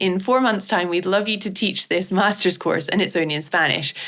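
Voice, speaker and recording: A woman speaks at a medium pitch with a Scottish accent, recorded very cleanly against a silent background. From Scottish Highlands. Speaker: clinical psychologist. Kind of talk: interview answer.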